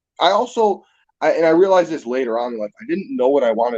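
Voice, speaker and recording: A man with a western New York accent, very fast pace, lively intonation, dark and mellow tone, and a dry, close sound with no echo. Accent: US Northeast (western New York). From Niagara Falls, New York. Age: 20s. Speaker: musician. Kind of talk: casual chat.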